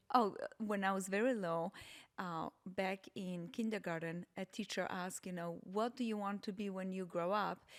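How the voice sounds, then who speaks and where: A woman with a slight Polish accent and fairly even intonation, on a very clean recording with a silent background. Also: medium pitch for a woman, moderate pace. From Poland. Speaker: podcast guest, host's mother. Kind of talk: casual chat. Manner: hesitant, with fillers.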